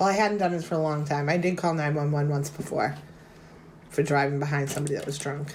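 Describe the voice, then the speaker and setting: The speaker talks very fast with fairly even intonation. Audible room echo and noticeable background noise are present. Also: woman, very deep, low pitch for a woman. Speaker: podcast host. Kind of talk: casual chat.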